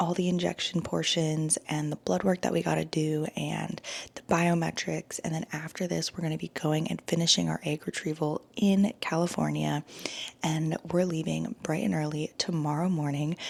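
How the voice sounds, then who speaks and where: A woman talks at a moderate pace while noticeable noise sounds behind her. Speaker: vlogger. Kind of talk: casual vlog. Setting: at home.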